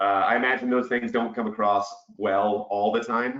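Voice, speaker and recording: Medium pitch and ordinary pitch variation from a man. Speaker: webinar host, business development director. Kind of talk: webinar panel discussion. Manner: loud and boisterous.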